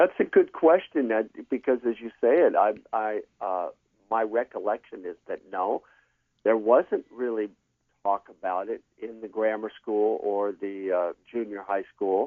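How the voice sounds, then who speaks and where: An ordinary speaking voice from a man with an American accent, fairly low in pitch with ordinary pitch variation, at a fairly slow pace. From California. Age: 60s. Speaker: former student, interview guest. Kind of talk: interview.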